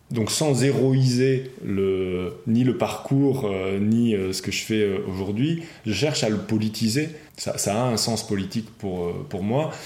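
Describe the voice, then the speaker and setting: Heard with audible room echo, a man speaks at a very slow pace, at medium pitch with ordinary pitch variation. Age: 40s. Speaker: former robotics engineer, now philosophy teacher. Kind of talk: interview testimony. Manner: halting, many repetitions and fillers.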